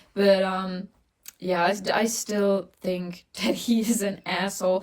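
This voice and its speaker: A woman talks at a very slow pace in a medium pitch, her intonation monotone and flat. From Germany. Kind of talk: casual chat. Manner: halting, searching for words.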